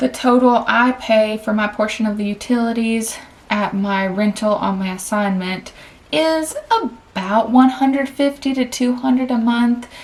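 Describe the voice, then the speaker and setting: With a Southern US accent, a woman talks over noticeable background noise, her pitch varying in an ordinary way. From Tennessee, US South. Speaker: vlogger and travel nurse. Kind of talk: casual personal finance vlog. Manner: chatty, conversational.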